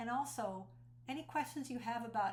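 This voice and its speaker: A woman at a moderate pace, with audible room echo around her voice. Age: 60s. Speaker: speaker and cult survivor. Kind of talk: personal testimony. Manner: earnest and conversational.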